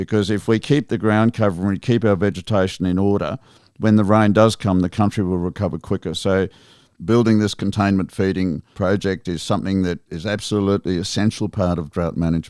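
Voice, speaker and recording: This man talks at a fairly quick pace with an Australian accent, his pitch fairly low and his intonation fairly even. The recording is very clean, with a silent background. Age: 60s. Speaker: sheep station manager. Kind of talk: podcast interview.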